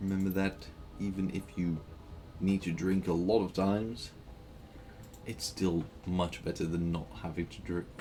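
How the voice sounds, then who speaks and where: A man with a very deep, low pitch talks at a moderate pace, leaving long, frequent pauses. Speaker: video game streamer. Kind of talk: live gameplay commentary. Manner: halting, repeated words.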